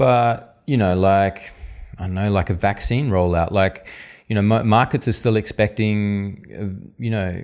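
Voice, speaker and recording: In a very clean recording with a silent background, a man with an Australian accent talks at a moderate pace with ordinary pitch variation. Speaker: economist, podcast co-host. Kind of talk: casual chat.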